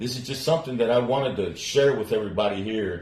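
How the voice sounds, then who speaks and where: Amid audible room echo, a man of medium pitch talks at a fairly quick pace. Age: 60s. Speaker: interviewer. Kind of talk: interview.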